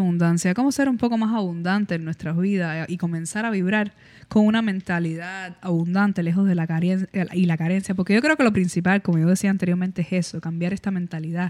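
A woman speaks at a fairly quick pace in a dark, mellow tone of medium pitch with ordinary pitch variation. The recording is very clean with a silent background, and the sound is dry and close with no echo. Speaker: podcast co-host. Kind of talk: casual chat.

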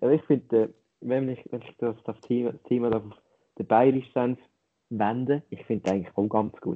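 The speaker talks at a moderate pace with a Lucerne accent, big swings in loudness, and long, frequent pauses. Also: man, medium pitch for a man, fairly even intonation. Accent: Lucerne hinterland Swiss German dialect. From Switzerland, Lucerne hinterland. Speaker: podcast co-host. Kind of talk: casual chat.

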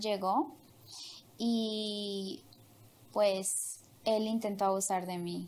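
A woman speaks with audible room echo. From Honduras. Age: young. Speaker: interview guest sharing life story. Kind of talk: personal testimony. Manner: hesitant, many fillers.

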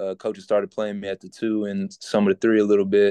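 With a Southern US accent, a man speaks in a fairly low, dark, mellow voice, flat and monotone, and the sound is dry and close with no echo. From Louisiana, Shreveport. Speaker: college basketball player. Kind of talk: interview.

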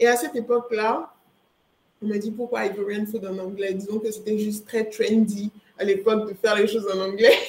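A woman's fairly high voice, flat and monotone in intonation. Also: moderate pace. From Ivory Coast. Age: 20s. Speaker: entrepreneur. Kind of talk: interview.

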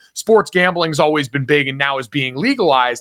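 A man's bright, sharp voice at a fairly quick pace, with ordinary pitch variation and a dry, close sound with no echo. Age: 30s. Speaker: sports media personality. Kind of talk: casual interview.

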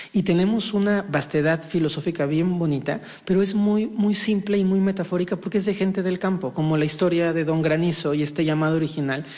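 A man speaks fairly quickly at a high pitch with hardly any pauses. His loudness stays very even. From Mexico. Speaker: shaman and spiritual healer. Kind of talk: interview. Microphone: echo.

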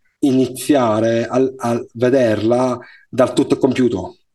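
A man with a dark, mellow tone speaks at a medium pitch in a monotone, flat delivery. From Sicily, Palermo. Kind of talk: interview conversation.

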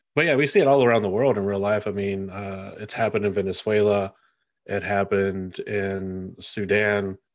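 Against a quiet background, a man with an American accent talks at a moderate pace in a fairly low pitch with fairly even intonation. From United States. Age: 20s. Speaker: podcast host. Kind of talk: casual chat.

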